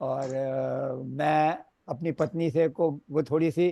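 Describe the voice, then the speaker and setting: A man speaks in a dark, mellow tone. The background is quiet. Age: 70s. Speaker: webinar participant. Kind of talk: video call Q&A. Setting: video call from his office.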